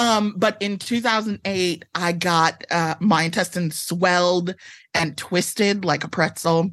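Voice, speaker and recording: Over a quiet background, a woman speaks in a normal speaking voice. Her pitch is medium, her pace fairly slow and her intonation fairly even. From Chicago area, Illinois (Evanston). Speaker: author. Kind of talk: casual interview chat.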